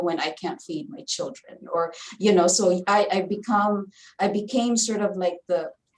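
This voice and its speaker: A woman talks with a Filipino accent. Her pace is fairly slow and her pitch varies in an ordinary way. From Philippines. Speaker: community advocate and former political candidate. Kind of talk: panel discussion. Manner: halting.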